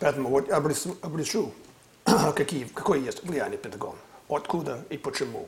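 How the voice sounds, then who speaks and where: Pausing long and often, a man keeps a moderate pace, with noticeable background noise behind him. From US California. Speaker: political analyst. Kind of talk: interview discussion on politics.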